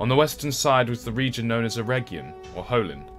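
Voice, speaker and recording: The speaker keeps a moderate pace. Background music can be heard throughout. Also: man. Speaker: voice actor. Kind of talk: documentary lore narration.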